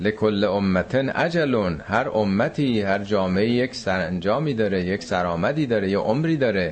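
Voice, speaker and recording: Hardly pausing, a man with an ordinary speaking voice talks at a moderate pace and very even loudness. His fairly low pitch comes with lively intonation. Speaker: Quran teacher. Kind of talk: lecture. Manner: conversational.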